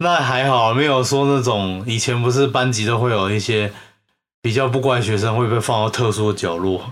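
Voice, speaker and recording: Room echo is audible as a man at medium pitch speaks at a moderate pace, his loudness very even and his pitch variation ordinary. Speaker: podcast co-host. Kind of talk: casual chat.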